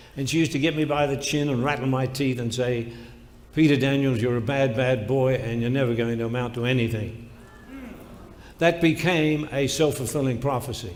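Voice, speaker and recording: The speaker has an Australian accent and a moderate pace. Intonation stays fairly even, with audible room echo. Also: man. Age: 80s+. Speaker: motivational speaker. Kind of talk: motivational speech.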